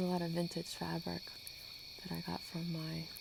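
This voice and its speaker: A soft-spoken, somewhat breathy woman at a fairly low pitch. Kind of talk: ASMR talking to sleep. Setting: outdoors, screened porch with night woodland sounds. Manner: casual, unscripted chatting.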